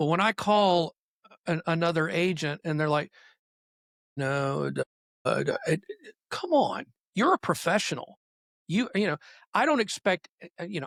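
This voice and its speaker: Speaking at a fairly slow pace with long, frequent pauses, a man with a high pitch and lively intonation comes through dry and close with no echo on a very clean recording with a silent background. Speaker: real estate agent. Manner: trained public speaker.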